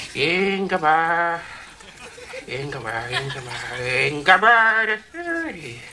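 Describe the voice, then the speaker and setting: In a put-on character voice pitched high for a man, he speaks at a fairly slow pace with lively intonation over clear background noise. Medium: comedy sketch.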